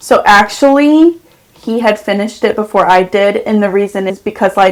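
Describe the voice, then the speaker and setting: A soft-spoken voice at a moderate pace, with ordinary pitch variation. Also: woman. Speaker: esthetician. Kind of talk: podcast interview answer. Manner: calm.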